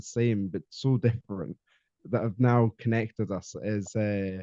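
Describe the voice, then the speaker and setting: In a Scottish accent, the voice moves at a fairly slow pace with ordinary pitch variation and a dark, mellow tone, recorded dry and close with no echo. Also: man. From Scotland. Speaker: podcast guest, mental health advocate. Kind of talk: casual interview chat. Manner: halting, many fillers.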